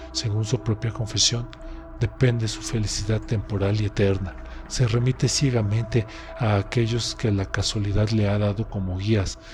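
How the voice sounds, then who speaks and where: A man speaks at a fairly low pitch and a moderate pace, his intonation fairly even. Music plays in the background. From Mexico. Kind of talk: audiobook narration.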